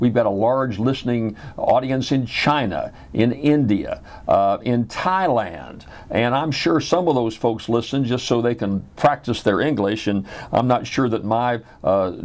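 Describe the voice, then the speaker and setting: At a fairly slow pace, a man with a slight Southern US accent speaks with ordinary pitch variation. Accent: slight Southern drawl. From Louisiana, US South. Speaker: radio host. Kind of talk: radio talk show monologue.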